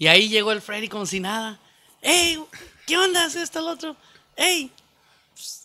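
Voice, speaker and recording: In a raised, projected voice with a bright, sharp tone, the speaker moves at a moderate pace with very wide pitch swings, big swings in loudness and long, frequent pauses. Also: man, extremely high pitch for a man. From Mexico, Zacatecas. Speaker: banda clarinetist. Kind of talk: casual chat.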